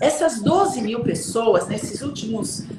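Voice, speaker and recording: A woman's medium-pitched voice at a moderate pace, with very wide pitch swings, noticeable background noise and audible room echo. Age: 60s. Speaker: self-development coach. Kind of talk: casual chat.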